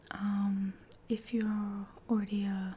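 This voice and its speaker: A soft-spoken woman talks at a fairly high pitch. Noticeable background noise is present. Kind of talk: casual talk to camera, ASMR catch-up.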